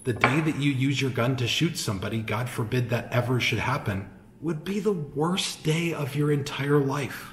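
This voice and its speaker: Noticeable background noise sits behind a man talking at a moderate pace. His voice is fairly high, with ordinary pitch variation. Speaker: cigar shop host. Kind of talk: casual talk to camera. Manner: soft-spoken.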